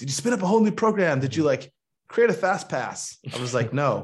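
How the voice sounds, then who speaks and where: Over a quiet background, a man with an American accent talks at a moderate pace, somewhat breathy, with very wide pitch swings. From Michigan. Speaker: venture capital investor. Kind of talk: interview.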